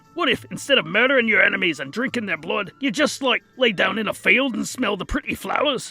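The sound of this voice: A man speaks at a high pitch in a put-on character voice. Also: fairly quick pace.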